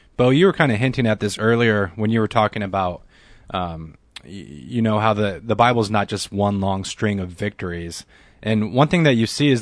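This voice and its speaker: A man with a plain, everyday voice, fairly low in pitch with ordinary pitch variation, at a fairly quick pace against a quiet background. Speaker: radio co-host. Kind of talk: casual radio conversation. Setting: studio.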